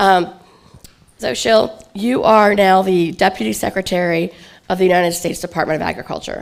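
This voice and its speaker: A woman's fairly low voice carries vocal fry and ordinary pitch variation. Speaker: event chair and host. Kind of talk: event opening remarks and moderation. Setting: conference stage with audience.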